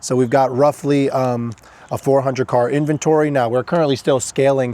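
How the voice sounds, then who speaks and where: A man with an American accent speaks at a fairly quick pace. His voice has a dark, mellow tone and a fairly high pitch. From northern US. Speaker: car dealership owner, vlogger. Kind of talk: casual vlog advice talk. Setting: at a dealership lot. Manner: fast.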